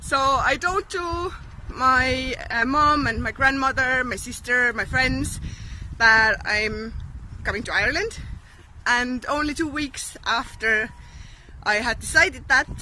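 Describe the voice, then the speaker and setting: A woman speaks in a raised, projected voice at a high pitch with ordinary pitch variation. Her pace is fairly slow, with long, frequent pauses. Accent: Estonian. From Estonia. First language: Estonian. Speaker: vlogger. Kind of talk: casual storytelling to camera. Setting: outdoors.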